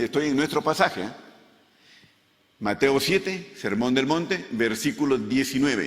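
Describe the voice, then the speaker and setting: A man's fairly high voice swings very widely in pitch while he talks at a fairly slow pace. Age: 70s. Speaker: pastor. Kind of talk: sermon.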